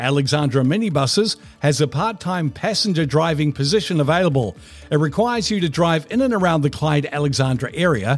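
A man with a New Zealand accent talks at a fairly quick pace in a fairly high, somewhat breathy voice, with lively intonation and very even loudness. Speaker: radio host. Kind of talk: podcast interview.

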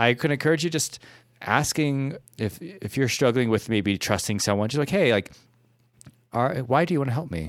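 Lively intonation marks this man's medium-pitched voice, a plain, everyday voice. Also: moderate pace. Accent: American. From US Midwest. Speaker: podcast co-host, relationship advice. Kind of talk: casual advice chat.

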